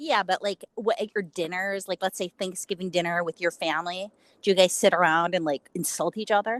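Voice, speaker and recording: With a Chicago accent, a woman speaks at a fairly quick pace and medium pitch with ordinary pitch variation, the sound dry and close with no echo. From Chicago, US. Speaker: interviewer, influencer. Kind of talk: casual chat. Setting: on a roof, audio call.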